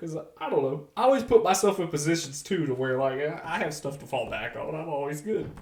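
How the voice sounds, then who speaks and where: With lively intonation, a man talks fairly quickly against noticeable background noise. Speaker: podcast co-host. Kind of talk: casual chat. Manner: loud.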